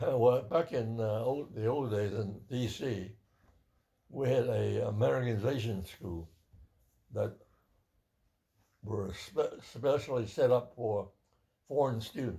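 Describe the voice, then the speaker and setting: With long, frequent pauses, a man speaks at a fairly slow pace in a somewhat breathy, dark and mellow voice of medium pitch with ordinary pitch variation. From born in Taishan, China; grew up in Washington, D.C. from age 9. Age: 90s. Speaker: church elder. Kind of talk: oral history interview.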